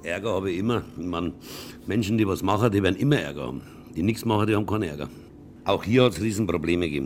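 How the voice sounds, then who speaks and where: Very fast delivery broken by long, frequent pauses, with ordinary pitch variation. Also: man, very deep, low pitch for a man. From Lower Franconia (Würzburg). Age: 70s. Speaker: concert venue operator. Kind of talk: interview.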